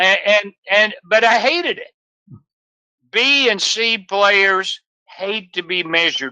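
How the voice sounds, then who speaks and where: A man projects his voice in a raised, bright, sharp tone at a high pitch. He speaks at a very slow pace. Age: 70s. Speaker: business mentor. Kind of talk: podcast interview.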